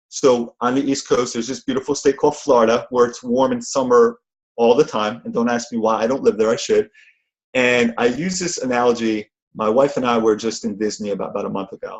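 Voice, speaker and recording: Speaking fast-ish in an animated tone, a man with a New Jersey accent uses a medium pitch and ordinary pitch variation. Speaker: motivational speaker and event trainer. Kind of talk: motivational talk on conference call. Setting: phone conference call.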